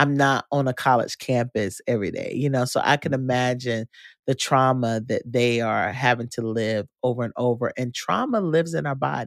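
With an American accent, a woman speaks at a moderate pace in a very deep, low pitch, her tone animated and her pitch variation ordinary, captured as a dry, close sound with no echo on a very clean recording with a silent background. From North Carolina. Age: 40s. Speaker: podcast host, organization founder. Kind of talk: casual interview. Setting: studio.

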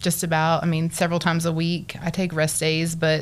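In a West Texas accent, a woman with a fairly low pitch speaks in a monotone, flat intonation on a very clean recording with a silent background. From Texas Panhandle, Borger. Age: 40s. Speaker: bariatric surgery patient and social worker. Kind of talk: interview.

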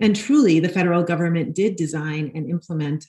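Speaking with an American accent, a woman has a fairly low pitch and a dark, mellow tone. Her voice is somewhat breathy, with ordinary pitch variation. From New York (Brooklyn). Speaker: nonprofit housing executive. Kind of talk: interview.

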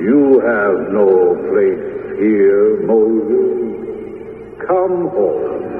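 A man speaks very slowly in a put-on character voice. Strong echo surrounds his words. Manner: compelling, commanding.

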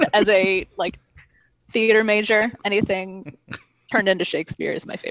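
With an American accent, a woman uses a normal speaking voice at medium pitch and a moderate pace. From Michigan. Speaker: trivia contestant. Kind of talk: casual chat.

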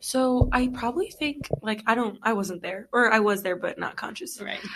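A woman's plain, everyday voice, fairly high-pitched, with lively intonation at a moderate pace. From US, Egyptian immigrant family. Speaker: bilingual guest. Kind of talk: casual interview.

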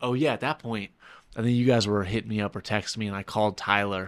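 An ordinary speaking voice from a man, fairly low in pitch, at a fairly quick pace with fairly even intonation, on a very clean recording with a silent background. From New York City. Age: 20s. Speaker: airline pilot and ultramarathon runner. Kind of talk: casual interview.

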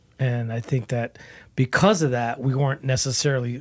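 The recording is very clean, with a silent background. A man with a plain, everyday voice and medium pitch talks at a fairly quick pace. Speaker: metal guitarist and band founder. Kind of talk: casual interview.

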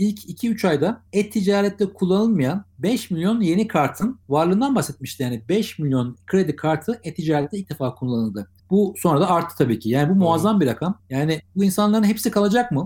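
A man's dark, mellow tone at a high pitch, fairly quick in pace, with very wide pitch swings. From Turkey, Ankara. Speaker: digital transformation consultant. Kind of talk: interview.

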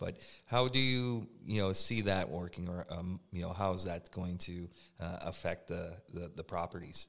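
Recorded very cleanly against a silent background, a man uses an unremarkable speaking voice with ordinary pitch variation. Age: 30s. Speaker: podcast host. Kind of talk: interview.

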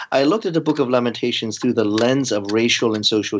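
At a fairly quick pace, a man of medium pitch talks in a normal speaking voice with ordinary pitch variation. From US, Baltimore. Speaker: seminary professor. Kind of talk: interview.

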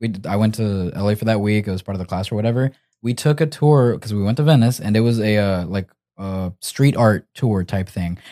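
Dark, mellow tone at a fairly quick pace. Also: man, fairly low pitch for a man, ordinary pitch variation, very clean recording, silent background. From Argentina. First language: Spanish. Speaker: podcast co-host. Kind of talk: casual chat.

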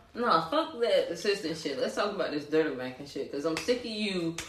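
An animated tone carries this fairly quick speech over noticeable background noise. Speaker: podcast co-host. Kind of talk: casual chat.

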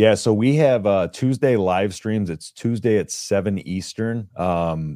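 On a very clean recording with a silent background, a man with an American accent speaks at a fairly slow pace. His tone is dark and mellow, fairly low in pitch with ordinary variation. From Texas. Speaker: sports podcaster. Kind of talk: casual chat.

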